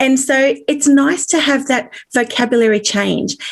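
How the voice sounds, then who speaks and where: A high-pitched woman with an Australian accent, speaking at a fairly slow pace with ordinary pitch variation. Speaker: author. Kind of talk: interview.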